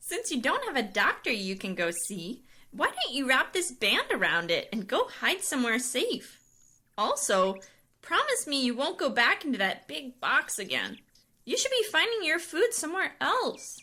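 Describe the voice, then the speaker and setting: A female-sounding cartoonish character voice, pitched high, goes along at a moderate pace. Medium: puppet.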